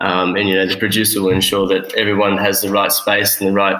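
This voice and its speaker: Bright and sharp in tone, a man's fairly low voice holds a monotone, flat intonation. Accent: Australian. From Australia (Sydney). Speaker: producer. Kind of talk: casual chat. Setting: remote call from a makeshift studio on location.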